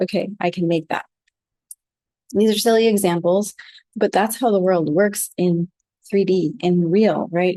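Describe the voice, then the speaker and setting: A soft-spoken woman with an American accent talks at a moderate pace, with a medium pitch and ordinary pitch variation. Her tone is dark and mellow, and the sound is dry and close with no echo. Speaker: flower essence teacher. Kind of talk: talk on a group call. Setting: group call.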